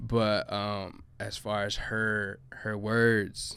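Here a man talks in a Chicago accent. His pitch is fairly low and his intonation monotone and flat. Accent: Chicago American English. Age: 20s. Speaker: reggaeton artist. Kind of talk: casual chat.

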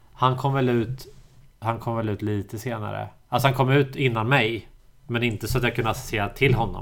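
A man talks at a fairly quick pace in an ordinary speaking voice, with medium pitch and fairly even intonation. The recording is very clean, with a silent background. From Sweden, Småland (Ingatorp near Eksjö). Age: 30s. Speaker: podcast host. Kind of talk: casual chat.

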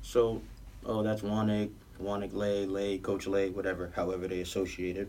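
In a New York accent, a man speaks with a fairly low pitch and a dark, mellow tone. His intonation is flat and monotone, and room echo is audible. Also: moderate pace. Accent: New York (Queens). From New York, Queens (Southside Jamaica). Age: 20s. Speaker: clothing brand founder and basketball coach. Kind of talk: casual chat.

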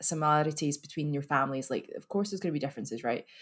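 A woman's very deep, low voice with a Scottish accent. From Scotland, Glasgow. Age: 30s. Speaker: marketing professional. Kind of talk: casual chat. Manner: animated.

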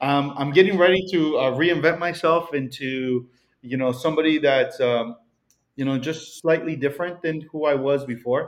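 With a Mexican accent, a man speaks at a moderate pace. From Mexico. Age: 30s. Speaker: real estate broker. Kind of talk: casual interview chat.

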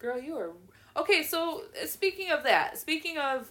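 In a bright, sharp tone, a woman speaks fairly slowly with very wide pitch swings. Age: 20s. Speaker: podcast host. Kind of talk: casual chat. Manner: animated.

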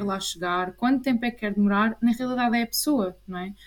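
A woman talks at a fairly quick pace in an ordinary speaking voice. Her pitch is fairly high, with ordinary pitch variation. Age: 20s. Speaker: clinical psychologist. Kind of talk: interview.

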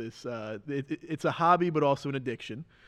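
A normal speaking voice with ordinary pitch variation against a quiet background. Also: man. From New Jersey, US (Mahwah). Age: 20s. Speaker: professional racing driver. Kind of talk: casual interview.

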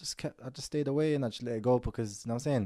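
On a very clean recording with a silent background, a man with a London accent speaks in a dark, mellow tone with ordinary pitch variation. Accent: London multicultural English. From Moroccan heritage, raised in UK. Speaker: podcast host. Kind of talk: casual chat.

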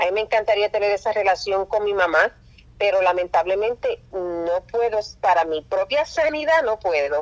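Lively in intonation, a woman talks at a moderate pace and medium pitch in a plain, everyday voice, the sound dry and close with no echo. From Puerto Rico. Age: 40s. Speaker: nurse. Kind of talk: testimony.

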